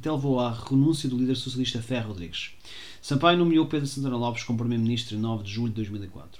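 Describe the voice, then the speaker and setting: A very fast man's voice at a medium pitch, with audible room echo. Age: 30s. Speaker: solo podcaster. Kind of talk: reading aloud with commentary; casual monologue. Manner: halting.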